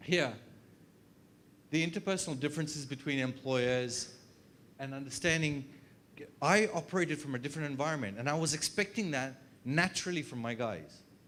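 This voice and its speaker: A man's fairly high voice with ordinary pitch variation, at a fairly quick pace with long, frequent pauses. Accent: Australian. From Australia. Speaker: HR consultant and trainer. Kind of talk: workshop presentation. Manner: fast.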